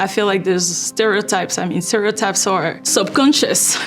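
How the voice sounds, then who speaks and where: Over noticeable background noise, a woman with a non-native accent speaks at a medium pitch and a moderate pace. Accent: noticeable foreign. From Ivory Coast. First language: French. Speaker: fundraising manager. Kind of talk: interview answer.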